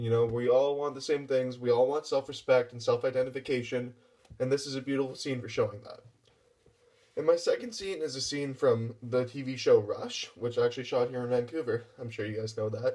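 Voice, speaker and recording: The man's voice is medium in pitch with a dark, mellow tone. He talks at a fairly quick pace with fairly even intonation and big swings in loudness. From western Canada, small town. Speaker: actor. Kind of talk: audition application talk to camera. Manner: words run together.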